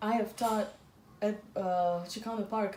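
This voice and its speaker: Over noticeable background noise and audible room echo, a woman with a Russian accent and a fairly high pitch speaks at a moderate pace with ordinary pitch variation. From Azerbaijan. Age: 40s. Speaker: artist and dancer. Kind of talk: interview conversation.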